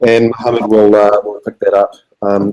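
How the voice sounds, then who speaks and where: The voice has a dark, mellow tone and a New Zealand accent. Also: man. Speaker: software developer. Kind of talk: conference talk. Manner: halting, many fillers.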